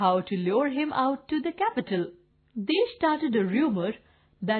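The intonation has a lively rise and fall. It is plain reading aloud.

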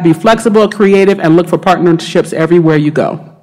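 A woman with an American accent talks at a fairly quick pace with ordinary pitch variation over a quiet background. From US South (Savannah, Georgia); Georgia. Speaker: marine scientist; speaker. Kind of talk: lecture. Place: hall.

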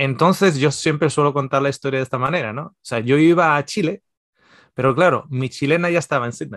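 A man talks at a fairly quick pace with ordinary pitch variation and big swings in loudness. The sound is dry with no echo, and the background is quiet. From Spain, Basque Country (Mondragón); Basque Country, Spain. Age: 40s. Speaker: nutritionist and theologian; podcast guest. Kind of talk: casual interview. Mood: relaxed storytelling. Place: home room. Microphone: video call.

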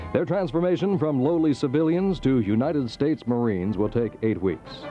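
Over music in the background, a man talks at a moderate pace with very wide pitch swings. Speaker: news reporter. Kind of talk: vintage TV news report narration.

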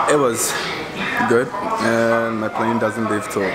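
Clear music sounds in the background while a man talks. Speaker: travel vlogger. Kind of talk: casual vlog chat. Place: cafe. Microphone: phone near.

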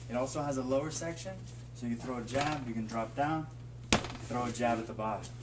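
A man is talking very rapidly. Some clear background noise can be heard throughout. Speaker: kickboxing instructor. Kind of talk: tutorial. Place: gym. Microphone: camera far.

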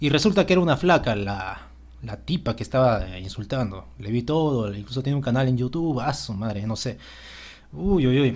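Lively intonation marks the man's speech. His pitch is medium. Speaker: gaming youtuber. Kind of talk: game patch notes commentary. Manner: fast.

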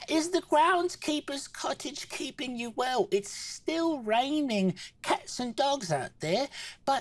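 This speaker uses a put-on character voice. The delivery is fairly slow. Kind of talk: comic character voice at the table. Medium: actual play. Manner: warm, fussing, motherly.

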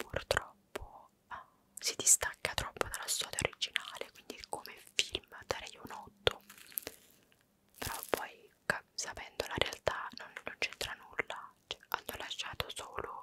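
Whispering at a very slow pace, a woman sounds soft-spoken yet intense, with big swings in loudness over noticeable background noise. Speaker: ASMR creator. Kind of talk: casual vlog chat. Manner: soft intense ASMR whisper.

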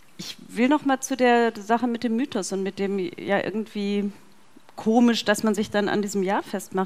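Moderate pacing and ordinary pitch variation in a woman's speech. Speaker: philosophy professor. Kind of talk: panel discussion. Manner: halting, many fillers. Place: hall. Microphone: headset.

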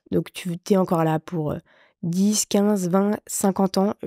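Against a quiet background, a woman's dark, mellow tone comes through dry, with no echo. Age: 30s. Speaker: widow sharing her story of caring for her sick husband; interview guest. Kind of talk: testimony. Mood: emotional, reflective about grief. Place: studio. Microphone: studio mic.

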